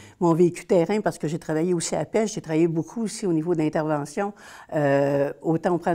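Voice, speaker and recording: In a Quebec accent, a woman talks at a fairly quick pace. Her pitch is fairly low. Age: 60s. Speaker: social worker. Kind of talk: interview testimony. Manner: hesitant.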